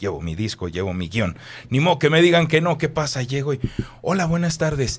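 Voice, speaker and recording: Vocal fry runs through this man's voice. He keeps a fairly quick pace with lively intonation. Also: fairly high pitch for a man. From Mexico, Guadalajara. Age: 30s. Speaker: radio announcer and voice-over artist. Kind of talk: interview.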